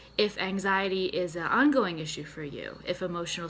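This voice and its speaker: In a bright, sharp tone, a woman with a slight Boston accent talks at a fairly quick pace. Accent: slight Boston accent on a few words. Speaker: therapist and mental health nutritionist. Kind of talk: health tutorial to camera. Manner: conversational, casual.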